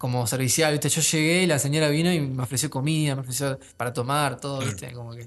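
A man's fairly even intonation holds as he talks at a very fast pace. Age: 20s. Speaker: young filmmaker and film student. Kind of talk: casual interview. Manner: halting, many fillers.

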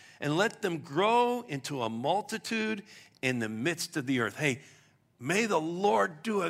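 The recording is very clean, with a silent background. A man speaks at a fairly slow pace, high in pitch and with very wide pitch swings. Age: 60s. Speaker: pastor. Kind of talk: sermon. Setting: church.

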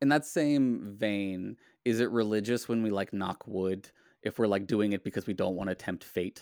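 The recording is very clean, with a silent background and a dry, close sound with no echo. It is an unremarkable speaking voice at a moderate pace with ordinary pitch variation. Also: man, fairly low pitch for a man. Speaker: podcast host. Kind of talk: casual interview chat.

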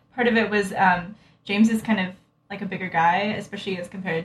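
Very fast and somewhat breathy, a woman speaks with an American accent and fairly even intonation. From US, Utah. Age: 20s. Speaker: medical student. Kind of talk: casual chat. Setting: apartment.

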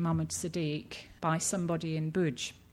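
A woman with a British accent, fairly even intonation and a moderate pace, on a very clean recording with a silent background. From Britain. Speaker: textile researcher and anthropologist. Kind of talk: lecture. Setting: stage with audience. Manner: hesitant, many fillers.

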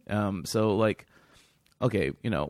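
In a plain, everyday voice, a man speaks at fairly low pitch and a moderate pace, with a dry, close sound and no echo. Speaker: podcast host. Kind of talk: casual chat. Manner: rambling, filler-heavy.

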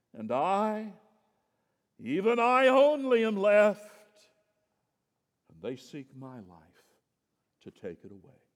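Putting on a whiny character voice, a man speaks high and fairly slowly, with very wide pitch swings, big swings in loudness and long, frequent pauses. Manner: whiny, self-pitying.

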